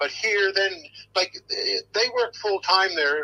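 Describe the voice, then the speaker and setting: A man talks at a moderate speed while noticeable noise sounds in the background. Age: 60s. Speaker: acquaintance of a family in a news case. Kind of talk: interview. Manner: halting, repetitive.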